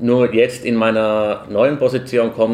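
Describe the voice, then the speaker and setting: This man has a medium pitch and fairly even intonation. He talks at a fairly slow pace. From Finland. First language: Finnish (speaking German). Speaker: opera répétiteur. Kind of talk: casual interview.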